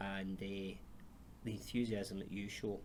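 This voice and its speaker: In a Glasgow accent, a man speaks at a moderate pace and a fairly low pitch, with audible room echo around him. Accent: Scottish, Glasgow. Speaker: charity chief executive, interviewer. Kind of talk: interview.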